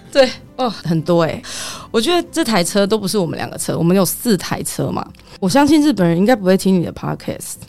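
Music plays behind a woman with a medium pitch. She talks at a fairly quick pace with very wide pitch swings. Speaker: tour leader for Japanese groups. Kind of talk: casual chat.

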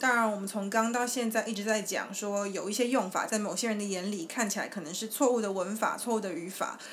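With a Taiwanese accent, a woman at a fairly high pitch talks at a fairly quick pace with hardly any pauses and ordinary pitch variation, with audible room echo. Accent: Taiwanese Mandarin. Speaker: podcast host. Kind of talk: casual chat; explanatory discussion of research.

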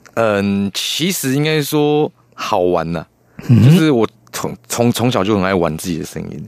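A man's fairly slow delivery with very wide pitch swings. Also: fairly low pitch for a man. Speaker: puppeteer. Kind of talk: radio interview.

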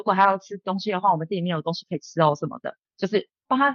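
The speaker talks at a very fast pace. Pitch variation is ordinary. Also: woman. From Taiwan. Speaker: bartender and bar owner. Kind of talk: casual interview.

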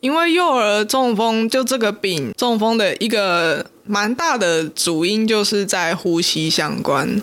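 Very slow speech in a Taiwanese accent, with hardly any pauses. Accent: Taiwanese Mandarin. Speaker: podcast co-host. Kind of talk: casual chat.

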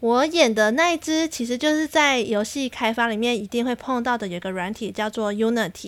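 A woman speaks in an animated tone with a Taiwanese accent. She leaves hardly any pauses. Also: fairly high pitch for a woman, lively intonation, moderate pace. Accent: Taiwanese Mandarin. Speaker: podcast host. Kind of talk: casual solo monologue.

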